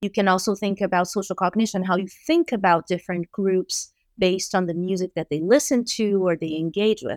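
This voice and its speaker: Heard in a dry, close sound with no echo, a woman with a Portuguese accent speaks at a fairly quick pace with hardly any pauses and ordinary pitch variation. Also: medium pitch for a woman, very clean recording, silent background. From Brazil. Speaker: music education professor. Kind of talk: interview.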